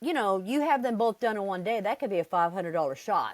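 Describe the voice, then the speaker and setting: A woman's medium-pitched voice, an ordinary speaking voice with lively intonation, in a dry, close sound with no echo. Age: 60s. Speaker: RV traveler. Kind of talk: interview.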